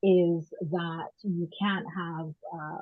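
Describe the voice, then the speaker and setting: A woman with a strong Barbadian accent speaks at a fairly low pitch. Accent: strong Barbadian (Bajan). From Barbados and Canada. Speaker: women's rights activist. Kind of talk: panel discussion.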